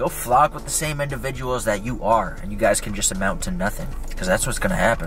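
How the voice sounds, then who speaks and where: A man speaks at a very fast pace in dry sound with no echo, clear music playing in the background. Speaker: vlogger. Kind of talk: casual vlog chat. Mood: reflective, motivational. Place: car. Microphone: phone near.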